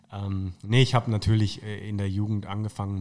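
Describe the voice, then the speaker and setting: Fairly low in pitch, a man speaks at a moderate pace with monotone, flat intonation. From northern Baden-Württemberg (Tauberbischofsheim, near Würzburg). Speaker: football club marketing manager. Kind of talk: casual interview.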